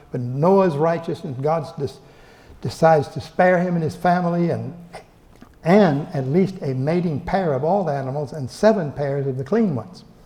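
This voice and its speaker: A man's fairly high voice in an American accent, with ordinary pitch variation, a moderate pace and audible room echo. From Texas. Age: 80s+. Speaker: professor. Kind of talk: lecture. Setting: library event room with audience. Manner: halting, many repeated words.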